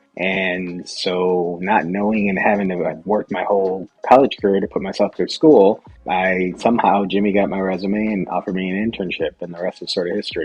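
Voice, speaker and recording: With music in the background, a man with a very deep, low pitch talks at a fairly quick pace in a monotone, flat intonation, with hardly any pauses. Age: 40s. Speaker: restaurant company CEO. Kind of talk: interview.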